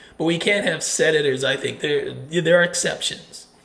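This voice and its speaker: Fairly high for a man, the voice keeps a fairly even intonation at a moderate pace. Room echo can be heard. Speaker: political commentary vlogger. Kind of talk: opinion monologue.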